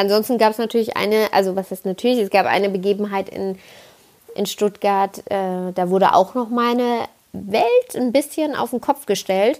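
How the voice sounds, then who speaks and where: Her voice sits at a medium pitch. This woman talks at a moderate speed with ordinary pitch variation. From Palatinate, Kaiserslautern. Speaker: podcaster. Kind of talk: casual monologue.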